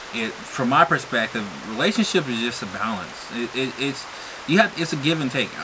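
A man talks at a fairly quick pace with lively intonation over noticeable background noise. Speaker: farmer and vlogger; vlogger. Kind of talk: casual chat. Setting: outdoors on a balcony. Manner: hesitant, many fillers. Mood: relaxed, joking. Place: home room. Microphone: camera far.

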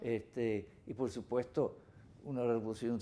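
With an English accent, a man speaks at a fairly slow pace in a dark, mellow tone, his pitch varying in an ordinary way. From US Northeast, Rhode Island. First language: English (speaking Spanish). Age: 80s+. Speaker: anthropologist and author; interviewee. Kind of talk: interview. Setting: office. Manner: halting, many repetitions. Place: office. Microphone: lapel.

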